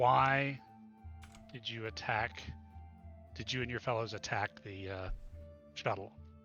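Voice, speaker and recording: Using a put-on character voice at medium pitch, a man speaks at a fairly slow pace with long, frequent pauses. Clear music plays in the background. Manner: commanding, compelling.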